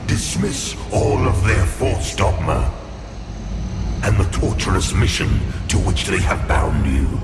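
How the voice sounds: A man's put-on character voice, low in pitch with big pitch swings, at a slow pace over clear music in the background.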